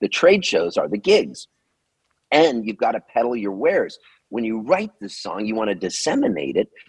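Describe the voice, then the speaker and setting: With an American accent, a man speaks at a moderate pace, the sound dry and close with no echo. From Southern California. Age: 60s. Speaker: singer-songwriter. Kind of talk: interview. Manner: animated.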